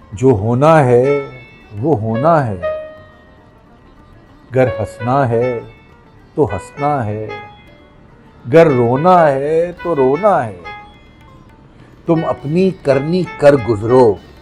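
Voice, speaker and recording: A man at medium pitch, with music in the background. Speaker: voice trainer. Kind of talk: poetry reading. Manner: expressive, emotional.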